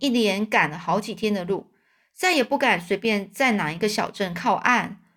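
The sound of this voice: The passage is read in an unforced reading voice.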